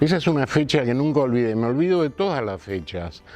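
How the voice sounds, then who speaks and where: A man speaks with very wide pitch swings. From Argentina, Buenos Aires area (Morón). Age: 60s. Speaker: actor and theatre teacher. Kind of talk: interview.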